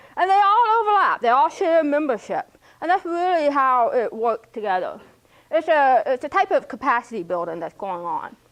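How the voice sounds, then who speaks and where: A woman with an American accent at a moderate pace, her pitch swinging very widely. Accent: speech of a hearing impaired person. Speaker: graduate student presenting capstone. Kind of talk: presentation. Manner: halting.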